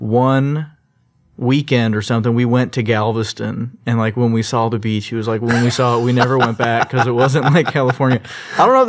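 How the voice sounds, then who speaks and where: An ordinary speaking voice with an American accent, at a fairly quick pace. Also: man. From Texas, Sugar Land (Houston area). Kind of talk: interview. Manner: casual, with fillers and repeats.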